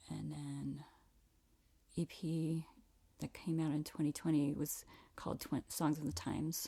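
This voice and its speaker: This soft-spoken voice moves at a fairly slow pace. Long pauses come often. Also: woman. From Virginia (Reston). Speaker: singer-songwriter. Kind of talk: casual interview chat.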